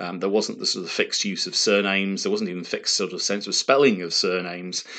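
A man speaks against a quiet background. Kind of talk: lecture. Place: home room. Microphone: webcam.

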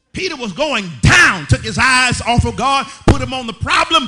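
A man's raised, projected voice at a fairly slow pace. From Southern United States. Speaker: pastor. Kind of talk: sermon. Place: church. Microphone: podium.

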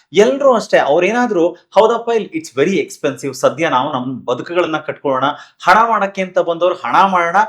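Pitched high, this man sounds animated, his intonation lively. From Karnataka. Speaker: talk show host and emcee. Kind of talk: interview.

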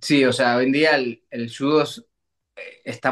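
A man's voice with fairly even intonation, set against a quiet background. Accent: Uruguayan. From Uruguay. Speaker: olympic judoka; guest. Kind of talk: interview. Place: home room. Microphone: video call.

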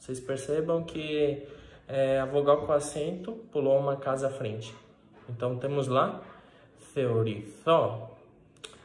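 Speaking at a very slow pace with long, frequent pauses, a man uses a fairly high pitch with ordinary variation, and the room echo is audible. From Brazil, Minas Gerais. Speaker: Greek language teacher. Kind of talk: lecture. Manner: frequent filler hesitations. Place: kitchen. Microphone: phone near.

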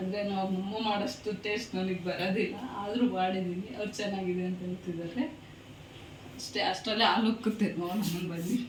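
A woman's medium-pitched voice with fairly even intonation, plus noticeable background noise and audible room echo. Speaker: cooking vlogger. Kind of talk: cooking tutorial.

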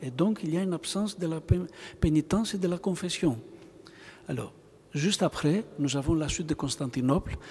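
With a Greek accent, a man speaks at a moderate pace and a fairly high pitch, with ordinary pitch variation and long, frequent pauses. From Greece. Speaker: bishop. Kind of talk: lecture. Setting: church. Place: church. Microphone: podium.

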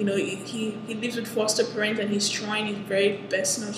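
A woman's intonation stays fairly even and her pace fairly quick, with noticeable background noise around her. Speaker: anime reviewer. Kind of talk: casual review chat. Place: classroom. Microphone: headset.

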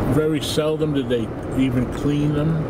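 Loud background noise runs under a man speaking at a fairly slow pace. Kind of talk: casual vlog chat. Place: car. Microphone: phone near.

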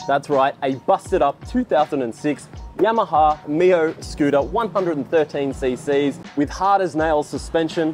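Faint music plays in the background as a man speaks at a very slow pace with ordinary pitch variation. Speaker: travel vlogger. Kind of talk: casual vlog chat. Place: street. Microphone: lapel.

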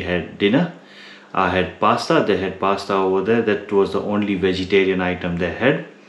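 Recorded with audible room echo, a man speaks at a fairly low pitch. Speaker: motorcycle touring vlogger. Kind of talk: casual vlog chat. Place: home room. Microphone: phone near.

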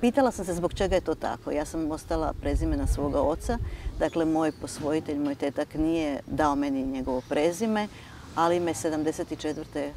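A woman's very deep, low voice at a moderate pace with ordinary pitch variation, a dry sound with no echo and light background noise. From eastern Croatia (Slavonia); Croatia. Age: 60s. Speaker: writer and university lecturer; university lecturer. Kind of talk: TV interview. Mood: calm, reflective. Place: garden.

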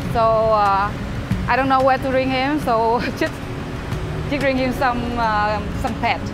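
Speech comes at a fairly slow pace. Music plays clearly in the background. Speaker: live streamer. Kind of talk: casual vlog chat. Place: street.

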